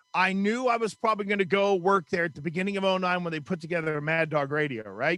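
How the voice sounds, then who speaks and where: Backed by music, a man with an American accent speaks very fast at a high pitch, hardly pausing at all. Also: ordinary pitch variation. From Western Pennsylvania. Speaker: sports radio host. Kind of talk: podcast interview.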